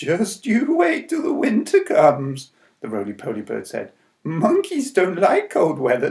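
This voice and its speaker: A man puts on a character voice. It is high-pitched and delivered at a moderate pace. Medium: read story.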